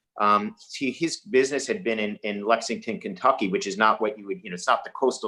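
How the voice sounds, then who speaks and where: Against a quiet background, a man with a New York accent talks at a very fast pace. His medium pitch swings very widely. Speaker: investor. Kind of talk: webinar panel discussion.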